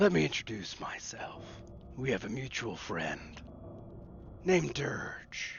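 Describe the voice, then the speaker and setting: Whispering in a put-on character voice, a man speaks at a fairly slow pace with long, frequent pauses over clear background noise. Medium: actual play. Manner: teasing, mocking.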